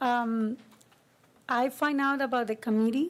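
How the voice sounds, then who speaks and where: A woman speaks with a strong Spanish accent. Her pace is fairly slow and her intonation fairly even. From Costa Rica. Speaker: committee member, community volunteer. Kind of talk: public meeting remarks.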